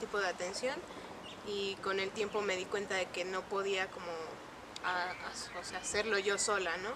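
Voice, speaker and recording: A woman talks at a moderate pace in a medium pitch, with monotone, flat intonation. Noticeable noise sits in the background. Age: 20s. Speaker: communication sciences student, anxiety patient. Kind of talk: documentary interview testimony. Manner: hesitant, many fillers.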